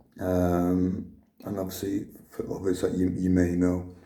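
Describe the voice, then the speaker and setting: A very slow pace, with audible room echo. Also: man. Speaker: vlogger sharing cancer journey. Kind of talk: personal video diary. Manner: halting with many fillers.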